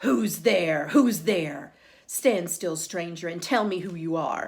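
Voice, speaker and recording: A woman uses a put-on character voice with a growl. Her pitch sits fairly low. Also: fairly slow pace. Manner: growling, menacing.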